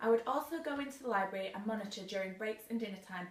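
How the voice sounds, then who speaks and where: A woman's fairly high voice at a very fast pace, in a Mancunian accent, with noticeable background noise. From northern England, Manchester. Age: 20s. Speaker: teaching job applicant. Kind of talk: demonstration lesson; self-introduction video. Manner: formal.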